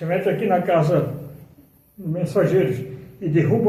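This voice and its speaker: Audible room echo carries a man's high-pitched voice at a moderate pace. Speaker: spiritist lecturer. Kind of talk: spiritual lecture. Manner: animated.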